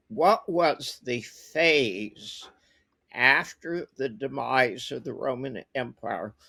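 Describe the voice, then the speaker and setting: This man has a medium pitch, lively intonation, and a dry, close sound with no echo. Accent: American. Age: 70s. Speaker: investor and war veteran. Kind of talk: interview.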